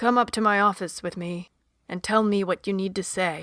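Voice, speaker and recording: A woman speaks in a put-on character voice at a medium pitch, with fairly even intonation and a moderate pace. The recording is very clean, with a silent background. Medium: read story. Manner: calm, gentle.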